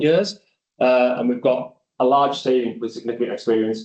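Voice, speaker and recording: With a North East England accent, a man speaks at a moderate pace in a medium pitch with a dark, mellow tone. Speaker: architect. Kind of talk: conference presentation. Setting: conference venue with audience and online viewers.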